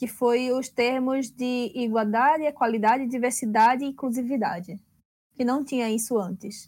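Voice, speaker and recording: A woman speaks with a Pernambuco accent. Her pitch is high and her pace moderate. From Recife, Pernambuco. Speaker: tournament organizer and judge. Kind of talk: casual chat.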